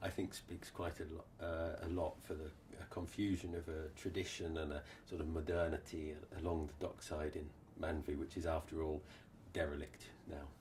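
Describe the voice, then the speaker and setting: A man with an English accent and a very deep, low pitch speaks at a moderate pace in a monotone, flat intonation. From England, Norfolk. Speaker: social anthropology professor. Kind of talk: interview answer.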